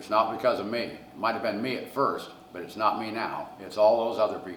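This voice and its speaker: A man with a Midwestern US accent talks fairly quickly at a medium pitch, with fairly even intonation and big swings in loudness. Noticeable background noise and audible room echo fill the recording. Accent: US Midwest. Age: 70s. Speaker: pizzeria owner. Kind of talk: interview storytelling.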